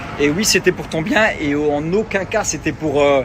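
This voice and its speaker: With noticeable background noise behind him, a man speaks at a fairly slow pace and a fairly high pitch. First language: Luxembourgish (speaking French). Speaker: reality TV personality and influencer. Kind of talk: social media rant.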